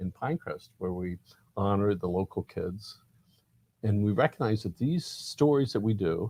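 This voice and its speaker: With long, frequent pauses at a moderate pace, a man speaks in a dark, mellow tone at a fairly low pitch, the sound dry and close with no echo. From Miami, Florida. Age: 50s. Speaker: community newspaper publisher. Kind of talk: interview.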